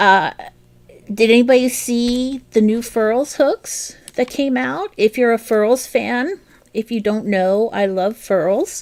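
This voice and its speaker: With a New Jersey accent, a woman speaks at a very slow pace, her fairly high pitch showing ordinary variation. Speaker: crochet livestream host. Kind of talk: casual live-stream chat. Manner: chatty, with fillers and self-corrections.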